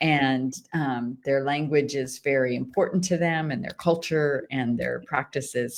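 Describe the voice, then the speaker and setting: At a fairly slow pace, a woman speaks in a very deep, low pitch. The recording is very clean, with a silent background. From United States. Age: 50s. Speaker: missionary author. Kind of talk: interview. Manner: halting, many restarts and fillers.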